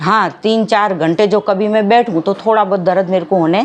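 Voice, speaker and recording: A woman's medium-pitched voice with fairly even intonation, over noticeable background noise. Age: 60s. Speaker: patient. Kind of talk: testimony.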